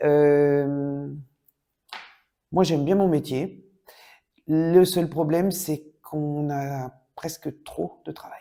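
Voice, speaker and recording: A woman's very deep, low voice with a dark, mellow tone, big swings in loudness, fairly even intonation, a very slow pace and long, frequent pauses. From Brittany, France. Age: 60s. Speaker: physiotherapist. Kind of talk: interview testimony. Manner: hesitant with fillers.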